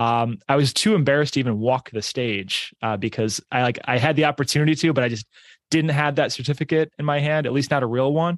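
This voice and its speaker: Here is a man with an American accent and a fairly high pitch, talking very fast. The sound is dry and close with no echo, and his pitch varies in an ordinary way. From New York area, US. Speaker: business owner and real estate investor. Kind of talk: casual interview chat.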